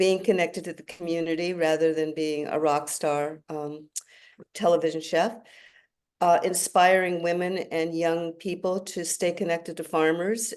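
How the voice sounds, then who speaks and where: Speaking at a fairly slow pace, a woman keeps a fairly low pitch and a monotone, flat intonation. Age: 70s. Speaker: chef and restaurateur. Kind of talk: panel discussion. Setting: video call.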